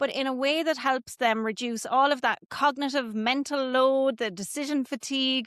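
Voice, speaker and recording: A woman with an Irish accent speaks at a moderate pace with hardly any pauses, her high voice keeping a fairly even intonation against a quiet background. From Ireland, Kilkenny. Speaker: business coach. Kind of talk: podcast interview.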